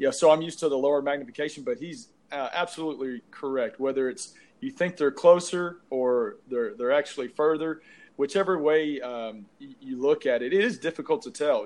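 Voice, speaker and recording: In an East Texas accent, a man talks fairly quickly with lively intonation and a fairly high pitch. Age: 40s. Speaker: podcast co-host. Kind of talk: casual chat.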